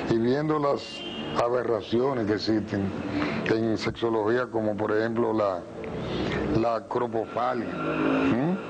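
A man talks at a fairly slow pace. Noticeable background noise is present. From Dominican Republic, La Romana. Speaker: talk show host. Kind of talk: interview. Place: studio. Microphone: lapel.

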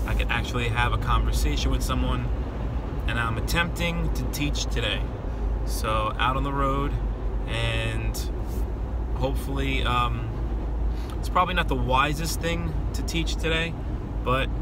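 A man talks with long, frequent pauses. The sound is dry with no echo, over loud background noise. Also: moderate pace. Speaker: voice teacher. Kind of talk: casual vlog chat. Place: car. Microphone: phone near.

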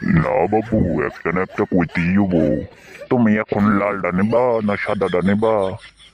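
A cartoonish character voice at a fairly slow pace. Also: man, fairly low pitch for a man. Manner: exclaims 'oh my father' often.

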